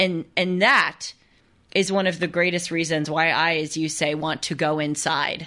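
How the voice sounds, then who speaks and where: Against a quiet background, a woman with a very deep, low pitch and a bright, sharp tone speaks at a fairly slow pace in a monotone, flat intonation. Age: 20s. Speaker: podcast host. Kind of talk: interview.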